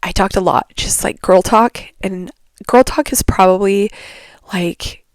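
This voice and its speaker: The woman speaks quietly. Her pitch sits in the medium range. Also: ordinary pitch variation, fairly slow pace. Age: 30s. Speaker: podcast host. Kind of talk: casual monologue. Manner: hesitant, filler-heavy.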